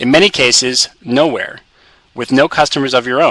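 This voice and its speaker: A man talks at a medium pitch. His pitch varies in an ordinary way. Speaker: publishing company presenter. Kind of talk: webinar presentation. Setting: conference call webinar. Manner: fast.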